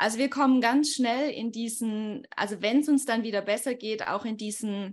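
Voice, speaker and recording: Recorded very cleanly against a silent background, a woman with a normal speaking voice talks at a moderate pace, her fairly high pitch showing ordinary variation. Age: 20s. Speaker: life coach. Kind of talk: podcast interview.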